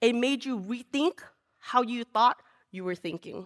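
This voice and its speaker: The speaker has a Lao accent. Pitch varies in an ordinary way. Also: woman, dry, close sound with no echo. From Laos, raised in California from age four. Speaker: storyteller. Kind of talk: live storytelling. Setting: stage with audience.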